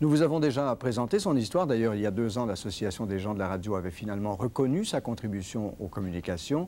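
With a dark, mellow tone and fairly low pitch, a man speaks at a very fast pace using lively intonation. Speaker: TV news presenter. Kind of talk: TV broadcast introduction. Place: studio. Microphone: lapel.

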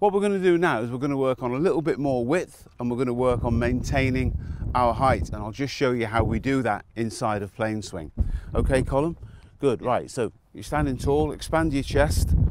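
Against noticeable background noise, a man's voice comes across dry with no echo and lively in intonation. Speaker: golf coach. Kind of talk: tutorial. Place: open country. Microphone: lapel.

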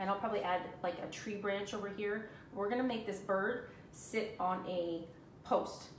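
In a room with audible echo, a woman talks at a moderate pace, her medium pitch following a fairly even intonation.

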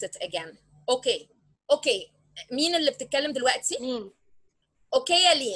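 A woman with an Egyptian accent speaks in a high, raised and projected voice. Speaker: business tutor. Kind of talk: online lesson. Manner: code-switching Arabic and English.

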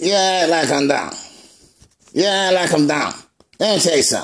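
A cartoonish character voice from a man, pitched high. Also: moderate pace. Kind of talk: comedy puppet skit. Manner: brash, mocking.

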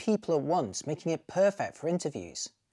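Over a quiet background, a man with a dark, mellow tone speaks at a fairly quick pace. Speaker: product reviewer. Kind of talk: review presentation. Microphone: lapel.

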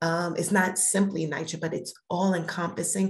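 A woman's fairly low voice with an American accent, vocal fry and fairly even intonation. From Brooklyn, New York; New York. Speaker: cannabis regulatory board chair; guest. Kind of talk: interview. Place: home room. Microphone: video call.

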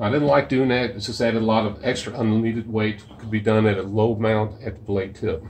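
Somewhat breathy and fairly low in pitch, a man speaks at a fairly quick pace. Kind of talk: tutorial. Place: garage. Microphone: phone near.

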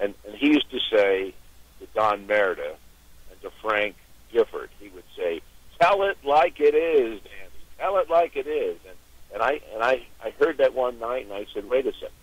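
Speaking with an American accent at a moderate pace, a man shows big swings in loudness in a dry recording with no echo. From New York and Pittsburgh. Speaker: auction company founder. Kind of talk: phone-in interview. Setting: phone call. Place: studio.

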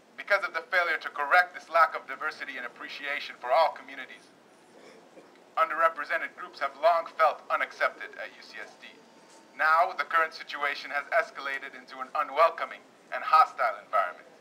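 A man talks at a fairly quick pace, his loudness swinging widely from moment to moment. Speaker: speaker. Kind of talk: read public statement. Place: street. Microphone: camera far.

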